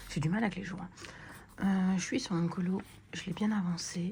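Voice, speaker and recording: A woman talks at a medium pitch. Her tone is dark and mellow, and somewhat breathy. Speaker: colouring vlogger. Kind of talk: casual vlog chat. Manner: hesitant, many fillers; soft-spoken.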